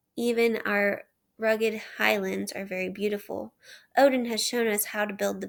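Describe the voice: The speaker reads plainly aloud with fairly even intonation, and the background is quiet.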